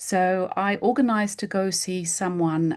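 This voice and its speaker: A woman speaks in an English accent. The background is quiet. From England. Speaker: homeopath. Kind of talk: casual interview chat.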